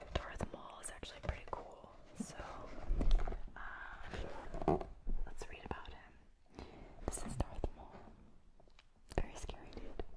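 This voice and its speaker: Whispering, this woman talks very slowly. Long pauses come often. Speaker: soft-spoken reader. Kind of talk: reading aloud from a book. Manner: soft, hushed ASMR voice close to mic. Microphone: studio mic.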